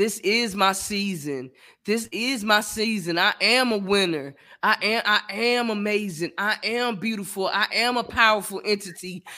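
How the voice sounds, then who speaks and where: A man uses a raised, projected voice with high pitch, a bright, sharp tone and ordinary pitch variation. He goes at a fairly slow pace on a very clean recording with a silent background. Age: 30s. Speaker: podcast host. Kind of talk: casual chat.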